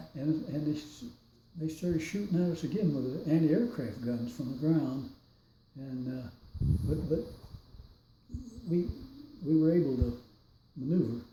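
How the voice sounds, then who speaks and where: A man with an American accent speaks at a moderate pace in a fairly high voice, his lively intonation broken by long, frequent pauses, with audible room echo around him. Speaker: war veteran. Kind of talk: testimony. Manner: halting.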